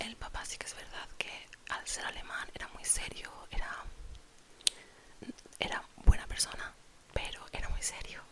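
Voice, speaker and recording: A woman whispering in a relaxed tone at a fairly slow pace, with long, frequent pauses, big swings in loudness and noticeable background noise. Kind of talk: ASMR storytime, whispered personal anecdote to camera. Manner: soft, relaxed, chatty.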